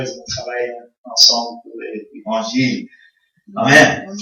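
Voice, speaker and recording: A man speaks very slowly, with audible room echo around his voice. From Congo (American missionary family). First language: English (speaking French). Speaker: visiting pastor. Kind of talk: sermon. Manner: halting, many hesitations.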